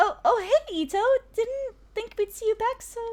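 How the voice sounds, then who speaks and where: Doing a put-on character voice, a woman speaks at a moderate pace in an extremely high, squeaky tone with lively intonation. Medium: game stream.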